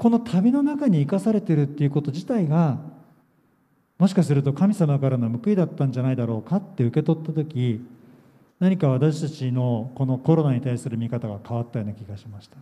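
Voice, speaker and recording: A fairly quick, somewhat breathy delivery with a dark, mellow tone, lively intonation and big swings in loudness. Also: man, fairly high pitch for a man. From Japan, Yokohama. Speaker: pastor. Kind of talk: sermon. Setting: church camp gathering.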